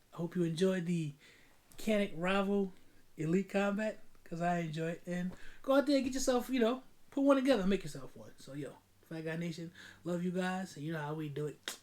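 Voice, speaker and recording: A man with a New York accent speaks at a fairly quick pace with lively intonation, big swings in loudness, and long, frequent pauses. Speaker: firearms YouTuber. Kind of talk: casual video outro. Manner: fast; stumbling over words.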